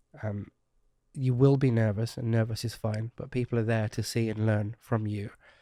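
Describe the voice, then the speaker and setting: Delivered at a fairly quick pace, a man's medium-pitched voice is monotone and flat. The very clean recording has a silent background and a dry, close sound with no echo. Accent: British. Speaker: marketing consultant and speaker. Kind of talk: podcast interview. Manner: fast.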